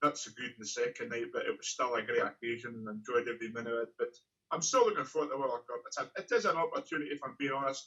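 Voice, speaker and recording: The speaker is a man with a Scottish accent. He talks at a very fast pace. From Scotland. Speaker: professional darts player. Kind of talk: interview answer.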